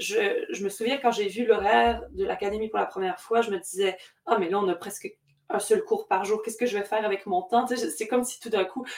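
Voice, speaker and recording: A woman's fairly high voice at a moderate pace. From Quebec. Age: young. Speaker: opera singer, contralto and composer. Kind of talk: casual interview. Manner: halting.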